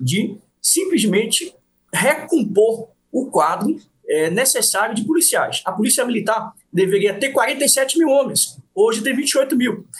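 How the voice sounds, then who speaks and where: Speaking at a fairly slow pace, a man uses an extremely high pitch with very wide pitch swings. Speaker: politician and police officer. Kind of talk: interview.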